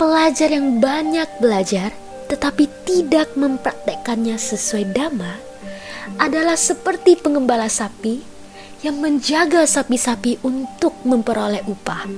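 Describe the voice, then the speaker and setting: A fairly slow pace and lively intonation, set against background music. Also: woman, high pitch for a woman. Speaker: singer and narrator, talent of a production house. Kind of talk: whispered Buddhist story narration. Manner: whispered, soft.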